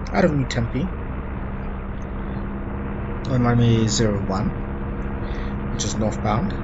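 A man against loud background noise. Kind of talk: flight briefing commentary. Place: plane. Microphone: headset.

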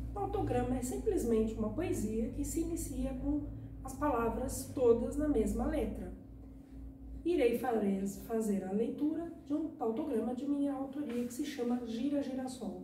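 Audible room echo and light background noise surround a woman speaking at a fairly slow pace. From Brazil. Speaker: poet and video blogger. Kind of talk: poetry reading of a short tautogram, after casual YouTube intro. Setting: video recording for YouTube. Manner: friendly, upbeat. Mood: warm, upbeat. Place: home room.

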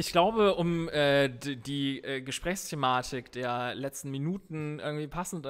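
A man with a fairly high pitch uses an ordinary speaking voice at a fairly slow pace, with ordinary pitch variation, on a very clean recording with a silent background. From northern Germany, Emsland. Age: 30s. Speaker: guitarist. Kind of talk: casual chat.

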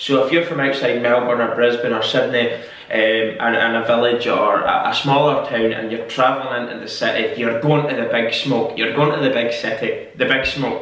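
There is audible room echo as a man talks at a moderate pace. He leaves hardly any pauses. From Scotland. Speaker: YouTuber. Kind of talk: casual talk to camera. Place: home room. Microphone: camera far.

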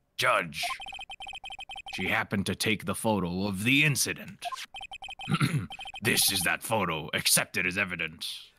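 A put-on, gravelly character voice comes out with long, frequent pauses. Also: man, fairly low pitch for a man, moderate pace.

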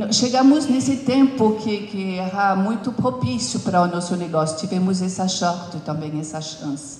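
Over audible room echo, a woman speaks at a fairly slow pace with lively intonation and hardly any pauses. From France. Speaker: company founder and CEO. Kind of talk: interview on stage with audience. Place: stage. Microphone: handheld.

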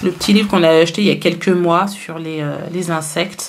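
Over light background noise, a woman talks at a moderate pace with a fairly low pitch and fairly even intonation. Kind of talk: casual vlog chat. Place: home room. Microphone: phone near.

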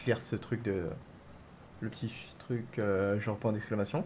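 A man's fairly low, somewhat breathy voice, fairly slow in pace and fairly even in intonation. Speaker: gaming streamer. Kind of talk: live gameplay commentary.

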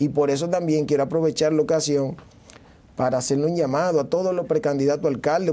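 A man with a Dominican accent speaks at a fairly quick pace. His pitch is fairly high and his intonation fairly even. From Dominican Republic, Santo Domingo; Dominican Republic. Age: 30s. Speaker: mayoral candidate; candidate. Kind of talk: TV interview. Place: studio. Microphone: lapel.

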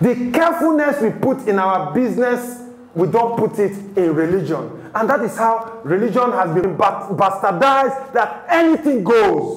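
A man with an extremely high pitch talks at a fairly slow pace, and audible room echo can be heard. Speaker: TV presenter and preacher; TV presenter, preacher. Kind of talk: sermon. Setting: studio. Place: studio.

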